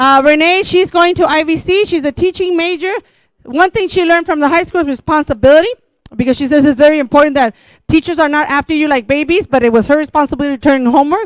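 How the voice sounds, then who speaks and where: A woman with a Spanish accent talks very fast in a high voice with ordinary pitch variation. The sound is dry and close, with no echo. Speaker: school district administrator. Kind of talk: public meeting presentation.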